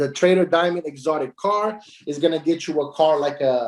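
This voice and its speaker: This man's voice sits fairly high. Its rise and fall stays ordinary. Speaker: company founder presenting business plan. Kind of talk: online presentation of compensation plan. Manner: fast; hesitant, many fillers.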